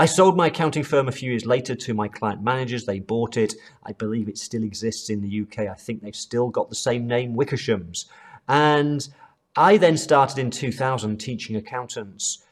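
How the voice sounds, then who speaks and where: Using a British accent, a man speaks at a moderate pace and medium pitch with ordinary pitch variation. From UK. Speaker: accounting trainer. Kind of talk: online course lecture.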